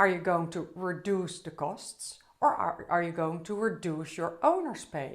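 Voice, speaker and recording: In a Dutch accent, a woman speaks fairly slowly with ordinary pitch variation, and audible room echo surrounds her. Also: fairly low pitch for a woman, hardly any pauses. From Netherlands. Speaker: business trainer, CEO. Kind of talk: conference talk. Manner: slightly halting.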